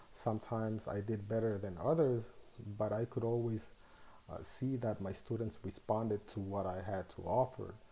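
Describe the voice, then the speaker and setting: Fairly even intonation marks this man's speech in a Spanish accent. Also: fairly low pitch for a man, moderate pace. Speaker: student teacher. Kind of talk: reflective monologue. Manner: measured, with hesitations.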